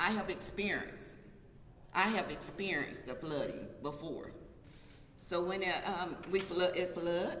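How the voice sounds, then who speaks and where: Amid noticeable background noise and audible room echo, a woman at a medium pitch speaks at a fairly slow pace with fairly even intonation and long, frequent pauses. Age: 60s. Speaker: local resident, community activist. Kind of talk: press conference statement.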